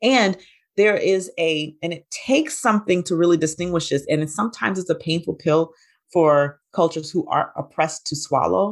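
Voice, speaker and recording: With an American accent, a woman talks at a moderate pace in an unremarkable speaking voice, fairly low in pitch, against a quiet background. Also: ordinary pitch variation. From US South, Alabama. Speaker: integrative physician and hypnosis trainer. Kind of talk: interview.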